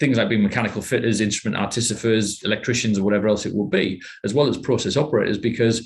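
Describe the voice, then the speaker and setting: Somewhat breathy, the voice has a northeast English accent and fairly even intonation. It runs very fast with hardly any pauses. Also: man, medium pitch for a man. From northeast England, Teesside. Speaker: manager at a technology innovation centre. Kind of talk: podcast interview. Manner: halting, many repetitions.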